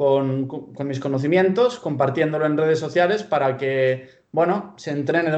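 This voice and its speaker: A man speaks slowly-ish with a Spanish accent and a fairly high pitch. His pitch varies in an ordinary way at a fairly slow pace. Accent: purely Spanish (Spain). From Pamplona, Spain (born in Bulgaria, moved at 12). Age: 20s. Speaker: sports science student and fitness coach. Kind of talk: interview.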